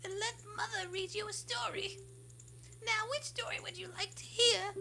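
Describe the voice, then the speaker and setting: Someone speaks at a moderate pace in a put-on character voice, with clear background noise behind them. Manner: warm, gentle.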